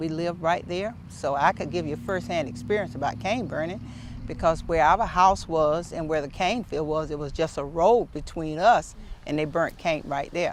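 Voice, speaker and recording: With an American accent, a woman speaks at a moderate pace in a very deep, low pitch with ordinary pitch variation. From Florida, Glades region. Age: 70s. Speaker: former county commissioner. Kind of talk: interview testimony.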